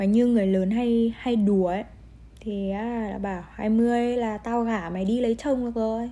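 A woman with a fairly high pitch and a dark, mellow tone speaks at a fairly slow pace with fairly even intonation, and audible room echo is present. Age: 20s. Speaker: podcast host, university student. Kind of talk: solo podcast monologue. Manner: casual, laughing often.

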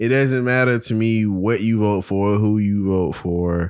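An unremarkable speaking voice, this man's has an American accent and a fairly low pitch with ordinary pitch variation, on a very clean recording with a silent background. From New York, the Bronx. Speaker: podcast co-host. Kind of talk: casual chat.

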